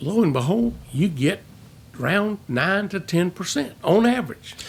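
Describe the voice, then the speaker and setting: Speaking at a moderate pace, a man with a high-pitched voice uses lively intonation. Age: 70s. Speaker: financial advisor. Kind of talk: interview.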